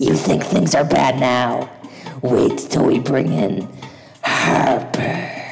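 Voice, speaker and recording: Over clear background music, a man puts on a raspy character voice and speaks at a very slow pace. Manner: gloating, menacing.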